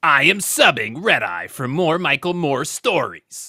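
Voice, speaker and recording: Raspy and at a middle pitch, this is a put-on character voice. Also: fairly slow pace. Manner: spacey, floaty.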